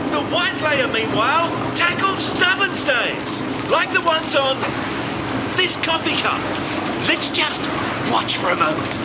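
Long, frequent pauses break up fairly slow speech heard over loud background noise. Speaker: presenter. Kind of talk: advertising demonstration.

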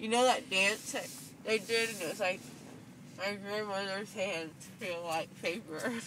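Very slowly, a woman speaks with ordinary pitch variation over light background noise. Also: dry sound with no echo. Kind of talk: casual chat. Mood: giddy, joking. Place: car.

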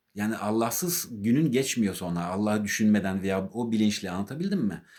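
A man talks at a moderate pace with a slight non-native accent. His pitch swings very widely. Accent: slightly non-native Turkish. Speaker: artist and religious vlogger. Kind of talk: religious talk to camera. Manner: halting, with many fillers.

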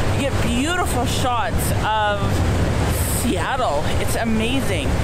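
A woman speaks with music in the background. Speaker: travel vlogger. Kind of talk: casual vlog chat. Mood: cheerful, enthusiastic. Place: boat. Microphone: phone near.

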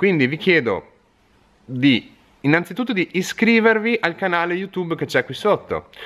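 Here is a man with a high pitch. He speaks at a fairly quick pace. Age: 30s. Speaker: fishing tackle shop owner. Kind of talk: direct-to-camera video appeal. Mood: earnest, friendly. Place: shop. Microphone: phone near.

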